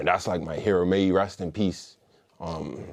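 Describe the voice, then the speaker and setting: A man speaks with a Bermudian accent. His pace is moderate. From Bermuda. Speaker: musician and former gang member. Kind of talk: interview storytelling. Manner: casual, slangy and profane.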